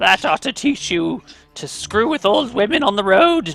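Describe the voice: A man puts on a croaky character voice pitched high for a man, with faint music in the background. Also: moderate pace.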